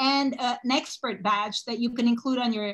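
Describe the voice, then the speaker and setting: A woman with a high pitch talks at a moderate pace. Her intonation is fairly even, and the background is quiet. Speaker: webinar host. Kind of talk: presentation introduction. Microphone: video call.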